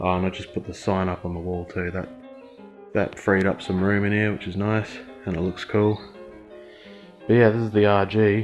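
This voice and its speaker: Music plays in the background as a man with an Australian accent speaks at a fairly low pitch in a monotone, flat intonation. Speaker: car restorer, auto parts dismantler. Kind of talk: casual talk to camera. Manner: casual, sweary.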